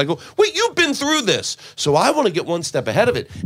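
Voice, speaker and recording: A man with vocal fry speaks at a fairly quick pace. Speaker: comedian guest. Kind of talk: casual chat.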